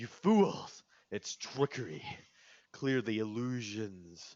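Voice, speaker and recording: A man puts on a character voice, loud and at a medium pitch. He speaks at a very slow pace. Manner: booming, commanding, angry.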